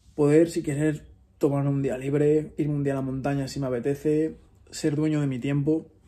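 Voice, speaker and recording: At a moderate pace, a man talks in a fairly high pitch with a dark, mellow tone and monotone, flat intonation. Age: 30s. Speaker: podcast host. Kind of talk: solo monologue. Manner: reflective.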